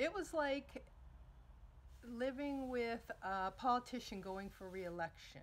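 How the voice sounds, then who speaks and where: With long, frequent pauses, a woman in an American accent talks at a very slow pace, her high voice carrying lively intonation. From Northeastern US. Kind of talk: casual talk to camera. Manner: humorous.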